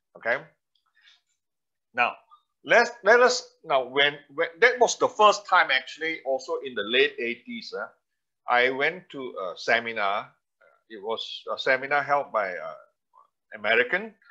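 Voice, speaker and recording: A man speaks at a fairly slow pace, leaving long, frequent pauses. His loudness swings widely. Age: 60s. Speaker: presentation trainer. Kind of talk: webinar presentation. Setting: online webinar. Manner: halting, many fillers.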